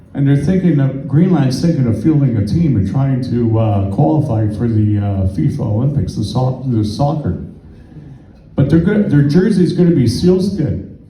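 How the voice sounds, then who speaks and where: The speaker has a Canadian accent and very wide pitch swings. Noticeable background noise and audible room echo fill the recording. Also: man, medium pitch for a man, moderate pace. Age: 60s. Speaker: stand-up comedian. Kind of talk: stand-up. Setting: comedy club stage with audience.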